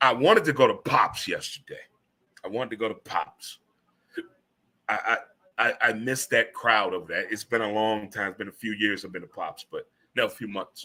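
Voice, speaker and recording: The delivery is animated and fairly quick, with big swings in loudness. Long, frequent pauses break it up. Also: man. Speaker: radio show host. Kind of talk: casual talk show monologue.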